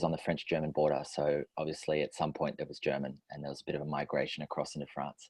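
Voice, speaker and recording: A man with an Australian accent. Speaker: relationship and personal growth facilitator. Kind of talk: podcast interview.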